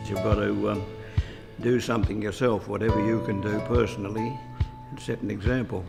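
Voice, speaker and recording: A man talks at a fairly quick pace, yet with long, frequent pauses. His intonation stays fairly even, and music plays in the background. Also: fairly low pitch for a man. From Tasmania, Australia. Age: 80s+. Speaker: farmer and inventor. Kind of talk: interview answer.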